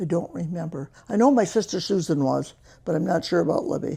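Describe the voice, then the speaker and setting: This woman speaks with an American accent in a fairly low pitch, with vocal fry, a dark, mellow tone, and very wide pitch swings. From US Midwest, northern Michigan. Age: 90s. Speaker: retired local resident. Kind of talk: oral history interview.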